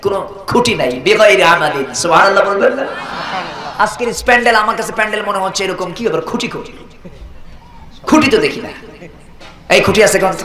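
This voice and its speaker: Noticeable background noise surrounds a man with a high voice. He speaks in a raised, projected voice with ordinary pitch variation. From Bangladesh. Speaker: Islamic preacher. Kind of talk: religious sermon at a gathering.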